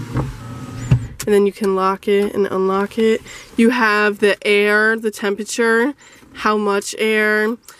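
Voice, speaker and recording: A woman at a very slow pace, dry with no echo, over light background noise. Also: ordinary pitch variation. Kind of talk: casual vlog chat. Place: car. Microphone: phone near.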